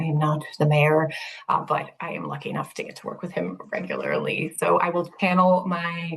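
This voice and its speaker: A woman, somewhat breathy, animated in tone and at a fairly quick pace. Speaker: city sustainability director. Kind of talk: presentation. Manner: fast.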